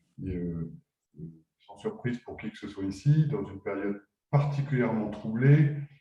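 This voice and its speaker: This man has a medium-pitched, dark, mellow voice that is somewhat breathy, and his intonation is lively. He talks at a moderate pace, with long, frequent pauses. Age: 60s. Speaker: business founder. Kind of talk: webinar discussion. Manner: halting, many hesitations.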